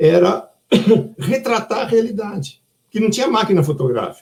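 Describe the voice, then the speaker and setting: A man talks at a moderate pace in a dark, mellow tone. His voice carries vocal fry. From Brazil, São Paulo. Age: 70s. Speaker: children's book author. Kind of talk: online live talk. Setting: online live stream. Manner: conversational, animated.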